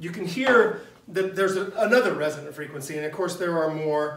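A man is speaking over light background noise. The room echo is audible. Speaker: teacher. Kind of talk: lecture. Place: classroom. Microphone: camera far.

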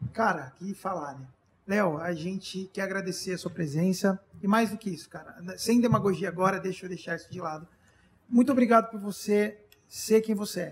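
Big swings in loudness mark this man's speech. He has a high pitch and a moderate pace. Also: ordinary pitch variation. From Brazil. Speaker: podcast host and band member; podcast host. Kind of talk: casual chat. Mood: warm, grateful. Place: studio. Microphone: studio mic.

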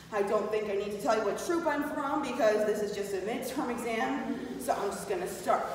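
A woman speaks at a moderate pace with lively intonation, in strong room echo with light background noise. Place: classroom. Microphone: camera far.

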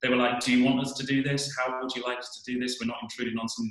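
A man speaks with audible room echo. The background is otherwise quiet. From England. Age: 40s. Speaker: geoscience professor. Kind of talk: personal presentation. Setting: video call. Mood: thoughtful, earnest. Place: home room. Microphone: webcam.

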